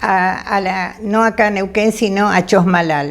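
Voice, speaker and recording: A woman at medium pitch speaks very slowly, her intonation fairly even. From Argentina, Buenos Aires. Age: 80s+. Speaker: retired teacher and family historian. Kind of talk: testimony. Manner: halting, with many fillers.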